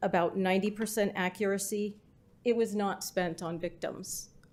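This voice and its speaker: At a fairly slow pace and in a monotone, flat intonation, a woman of medium pitch speaks on a very clean recording with a silent background. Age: 60s. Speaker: public commenter. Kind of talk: public comment, reading prepared statement. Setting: city council meeting.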